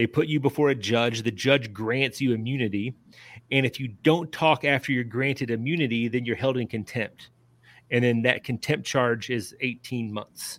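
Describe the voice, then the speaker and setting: A man with fairly even intonation on a very clean recording, silent background. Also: medium pitch for a man, moderate pace. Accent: Kentucky. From central Kentucky (Lebanon, Marion County). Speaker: author and journalist. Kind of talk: interview. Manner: halting.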